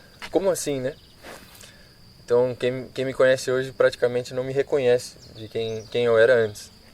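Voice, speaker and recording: Speaking with a Brazilian accent, a man in a medium pitch delivers his words at a moderate pace in a flat, monotone intonation. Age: 20s. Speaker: missionary, former professional footballer. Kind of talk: casual interview. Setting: priory in Braga. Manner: hesitant, with many fillers.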